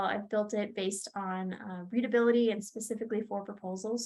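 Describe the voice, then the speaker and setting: Her pace is moderate and her intonation fairly even. This woman's pitch is fairly high. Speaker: proposal manager and software trainer. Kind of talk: tutorial.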